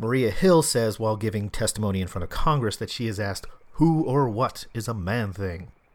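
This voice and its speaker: Someone speaks at a fairly quick pace with an American accent and lively intonation, in an ordinary speaking voice. The recording is very clean, with a silent background. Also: man, medium pitch for a man. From US East Coast, Philadelphia. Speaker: podcast host. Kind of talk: solo podcast monologue.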